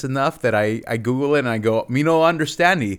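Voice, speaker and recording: A man speaks at a fairly quick pace with lively intonation, in a plain, everyday voice at medium pitch. The recording is very clean, with a silent background. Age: 30s. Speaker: podcast co-host. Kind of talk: casual chat.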